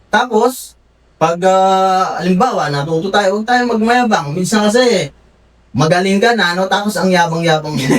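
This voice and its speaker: Loud and high-pitched, a man talks at a moderate pace with ordinary pitch variation. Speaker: panelbeater. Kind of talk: casual chat. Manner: animated.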